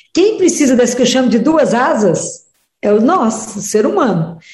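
Audible room echo surrounds a woman's high-pitched voice with a dark, mellow tone. She speaks at a moderate pace with very wide pitch swings. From Minas Gerais, Brazil (Oliveira). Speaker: pediatrician and religious speaker. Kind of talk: radio interview.

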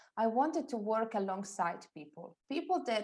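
A woman with an Italian accent talks at a fairly slow pace. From Italy. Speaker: personal stylist. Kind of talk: interview.

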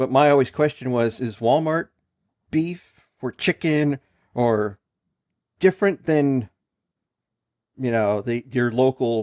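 At a fairly slow pace with long, frequent pauses, a man speaks at a medium pitch with ordinary pitch variation in a dry, close sound with no echo. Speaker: podcast host. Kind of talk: casual chat.

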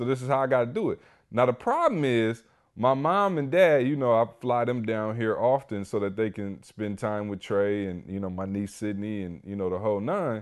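This man's tone is animated, with ordinary pitch variation and a medium pitch. He talks at a moderate pace. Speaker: podcast host. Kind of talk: casual chat.

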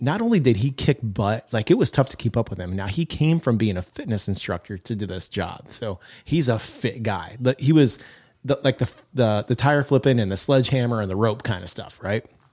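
On a very clean recording with a silent background, a man with an ordinary speaking voice and medium pitch talks at a fairly quick pace with lively intonation, dry and close with no echo. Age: 50s. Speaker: podcast co-host, leadership coach. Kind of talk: casual chat.

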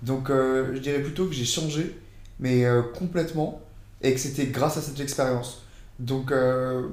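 Amid audible room echo, a man with a fairly high pitch and fairly even intonation talks at a fairly slow pace with long, frequent pauses. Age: 20s. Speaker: former exchange student. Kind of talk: casual chat.

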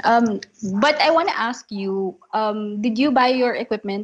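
A woman with a Filipino accent speaks at a fairly slow pace. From Philippines. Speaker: podcaster. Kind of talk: casual chat. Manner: giggly.

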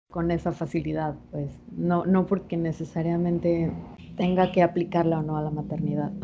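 A woman speaks at a fairly low pitch in a monotone, flat intonation. Noticeable background noise sits behind her. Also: moderate pace. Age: 20s. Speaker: podcast co-host. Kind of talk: casual chat.

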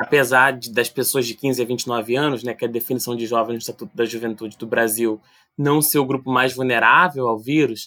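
A man's plain, everyday voice at medium pitch, with fairly even intonation and a moderate pace. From Brazil, Rio de Janeiro (Vila do Vintém). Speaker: youth policy researcher. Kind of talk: podcast interview.

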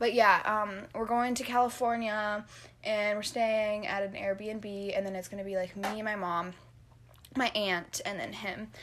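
An ordinary speaking voice belongs to a woman with a fairly high pitch and fairly even intonation. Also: fairly slow pace. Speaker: podcast co-host. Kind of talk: casual chat.

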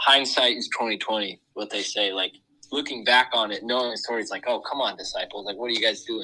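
Speaking with fairly even intonation, a man has a medium pitch and a bright, sharp tone. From Southern California, Huntington Beach. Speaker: college student, podcast co-host. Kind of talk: casual chat.

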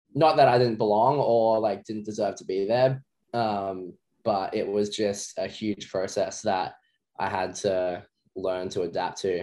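A man with an Australian accent, fairly low in pitch, at a fairly slow pace with ordinary pitch variation. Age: 20s. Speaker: professional wakeboarder. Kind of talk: interview.

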